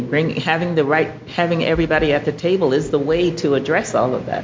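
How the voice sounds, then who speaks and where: A woman with a fairly low pitch, amid noticeable background noise and audible room echo. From Alabama. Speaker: environmental toxicologist and attorney. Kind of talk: presentation. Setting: congressional briefing room with audience.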